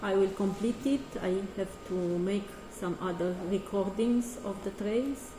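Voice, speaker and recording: Over noticeable background noise, a woman talks at a fairly slow pace and medium pitch with fairly even intonation and hardly any pauses. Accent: Romanian. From Romania. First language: Romanian. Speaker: artist. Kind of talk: casual presentation of artworks. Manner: halting.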